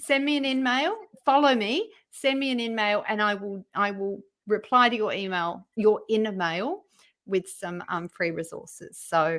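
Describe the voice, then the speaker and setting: A woman talks with an Australian accent at a fairly slow pace. Her intonation is lively. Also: fairly high pitch for a woman. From Western Australia. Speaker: LinkedIn profile writer and trainer. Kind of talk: interview.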